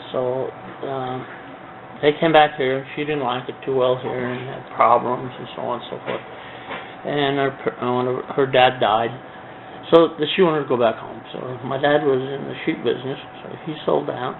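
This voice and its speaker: A man's medium-pitched voice at a moderate pace, flat and monotone, with big swings in loudness, long, frequent pauses and noticeable background noise. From Greece (childhood), then Craig, Colorado from age 11. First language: Greek. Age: 70s. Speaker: businessman in oral history interview. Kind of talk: oral history interview. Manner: hesitant, many fillers.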